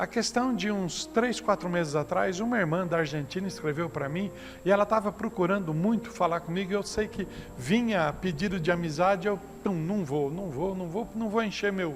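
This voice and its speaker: Music plays in the background as a man with a high pitch talks at a moderate pace with ordinary pitch variation, and audible room echo surrounds him. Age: 60s. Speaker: pastor. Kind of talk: sermon. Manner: conversational, anecdotal preaching.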